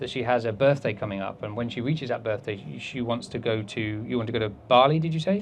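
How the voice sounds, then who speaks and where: In an English accent, a man speaks at a very fast pace and a medium pitch with ordinary pitch variation. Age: 40s. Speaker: behaviour consultant and speaker. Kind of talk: talk with audience Q&A.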